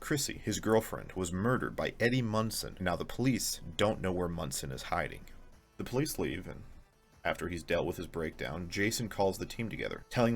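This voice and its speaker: Over music in the background, a man with a fairly low pitch speaks at a fairly quick pace in a playful tone with lively intonation. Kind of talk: casual video essay commentary. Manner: playful, sarcastic.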